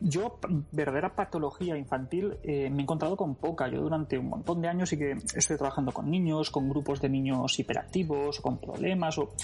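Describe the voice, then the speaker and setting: At a fairly quick pace with hardly any pauses, the somewhat breathy voice keeps very even loudness and ordinary pitch variation. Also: man, fairly high pitch for a man. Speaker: psychologist. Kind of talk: casual interview. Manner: fast.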